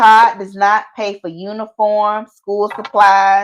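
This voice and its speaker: A woman's medium-pitched voice moves along at a very slow pace. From US South, Atlanta, Georgia. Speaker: YouTube talk show co-host. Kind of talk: casual live-stream chat. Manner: animated.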